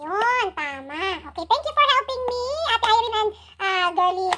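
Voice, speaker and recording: A woman's raised, projected voice at an extremely high pitch, bright and sharp in tone, with lively intonation at a moderate pace. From Philippines. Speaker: YouTube vlogger. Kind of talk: casual livestream chat. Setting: at home. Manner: animated. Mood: chatty, playful. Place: home room. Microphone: phone near.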